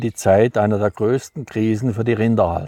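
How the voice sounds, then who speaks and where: In a dry, close sound with no echo on a very clean recording with a silent background, a man speaks at a moderate pace in a dark, mellow tone with a fairly low pitch. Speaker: author, farmer. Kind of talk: book reading.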